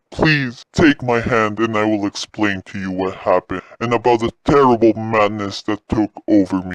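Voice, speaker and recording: A man's put-on character voice at a moderate pace with hardly any pauses, in a dry, close sound with no echo. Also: medium pitch for a man. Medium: audio drama. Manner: pleading, archaic phrasing.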